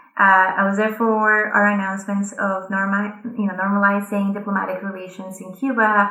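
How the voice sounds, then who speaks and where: In a Colombian accent, a woman speaks at a moderate pace and medium pitch with hardly any pauses, her intonation monotone and flat, her tone bright and sharp, and audible room echo around her. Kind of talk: conference talk.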